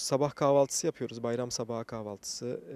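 A man's dark, mellow voice at a moderate pace, with fairly even intonation and a dry sound free of echo. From France. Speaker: community association president. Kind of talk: street interview; interview answer. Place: garden. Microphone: handheld.

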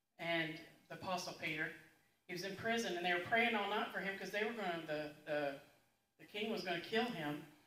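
Ordinary pitch variation at a fairly quick pace, with audible room echo. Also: woman. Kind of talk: announcements. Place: church.

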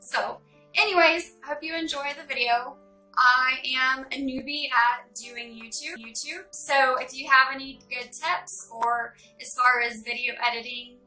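A high-pitched woman with an American accent speaks fairly slowly in a raised, projected voice, with big swings in loudness and ordinary pitch variation. Faint music plays in the background. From Texas. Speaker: beginner vlogger. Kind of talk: casual talk to camera. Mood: warm, grateful, partly somber. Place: home room. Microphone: phone near.

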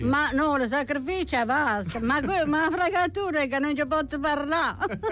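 At a moderate pace, a woman speaks at a high pitch with ordinary pitch variation, in a dry sound with no echo and light background noise. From Taranto, Puglia. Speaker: actress. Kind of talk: radio interview answer. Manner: lively, witty. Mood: lively, chatty. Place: studio. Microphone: studio mic.

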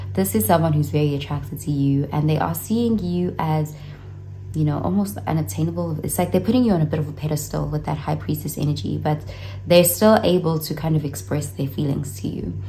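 Over music in the background, a woman with a very deep, low voice speaks at a fairly quick pace with very wide pitch swings. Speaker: tarot reader. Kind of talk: tarot reading commentary. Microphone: phone near.

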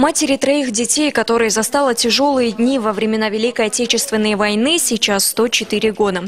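Over noticeable background noise, a woman with a fairly high pitch speaks at a fairly quick pace with hardly any pauses, very even loudness and ordinary pitch variation. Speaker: TV news reporter. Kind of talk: TV news report narration.

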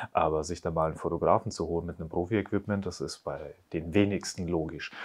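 Very deep and low in pitch, a man talks at a very fast pace with fairly even intonation. The background is quiet. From Bavaria (Upper Palatinate, Neumarkt); Bavaria. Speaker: real estate agent; interviewee. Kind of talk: interview. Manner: casual. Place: studio. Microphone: lapel.

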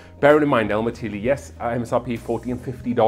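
With faint music behind him, a man talks at a fairly quick pace. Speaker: whiskey reviewer host. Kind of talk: casual review commentary. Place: bar. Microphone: lapel.

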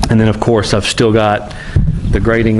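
Light background noise sits under a man's speech. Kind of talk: casual vlog chat. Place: open country. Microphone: phone near.

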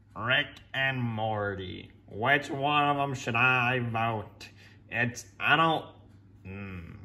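Using a put-on character voice, a man speaks at medium pitch and a very slow pace. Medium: fan dub. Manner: exasperated, dry.

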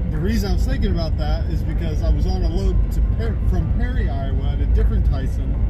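Music playing behind a man's moderately paced speech. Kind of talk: casual vlog chat. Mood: self-critical, relaxed. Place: car. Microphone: camera far.

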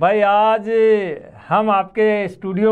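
A man's high-pitched, very slow speech with monotone, flat intonation against a quiet background. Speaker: veteran radio presenter. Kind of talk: interview. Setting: studio. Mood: warm, reminiscing. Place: studio. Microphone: lapel.

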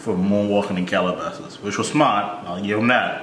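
Audible room echo and light background noise accompany a man as he speaks. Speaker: reaction video host. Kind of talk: casual reaction commentary. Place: home room. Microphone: phone near.

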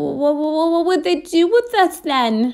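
A female-sounding, shaky put-on character voice reaches an extremely high pitch for a woman. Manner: trembling, frightened.

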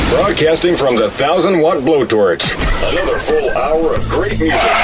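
Over music in the background, a man talks at a moderate pace with very even loudness. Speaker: voice actor, radio imaging voice. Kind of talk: country radio station imaging read. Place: studio. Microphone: studio mic.

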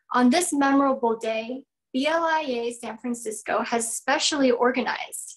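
A woman's high-pitched voice at a fairly slow pace, with ordinary pitch variation, against a quiet background. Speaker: event host. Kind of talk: formal welcome speech. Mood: warm, cheerful. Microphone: video call.

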